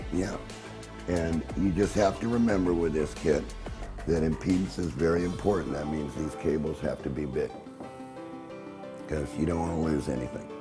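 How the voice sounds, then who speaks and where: Over music in the background, the speech moves at a moderate pace with long, frequent pauses and ordinary pitch variation. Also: man, very deep, low pitch for a man. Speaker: inventor. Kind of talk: infomercial pitch.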